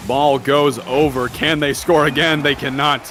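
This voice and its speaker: A man's fairly high voice with fairly even intonation over noticeable background noise. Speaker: esports caster. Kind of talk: live commentary.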